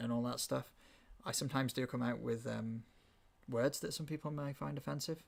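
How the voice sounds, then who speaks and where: With a Welsh accent, a man at a medium pitch speaks at a fairly quick pace, with ordinary pitch variation and long, frequent pauses. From Wales. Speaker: podcast host. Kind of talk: casual chat.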